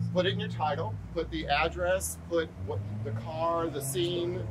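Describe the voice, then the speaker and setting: A woman is speaking. Noticeable background noise runs underneath. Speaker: real estate agent. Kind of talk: casual training video. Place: street. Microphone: lapel.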